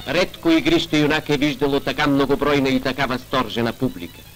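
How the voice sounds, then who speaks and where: Over music in the background, a man with a fairly high voice talks at a fairly quick pace, keeping very even loudness and ordinary pitch variation. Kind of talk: newsreel narration.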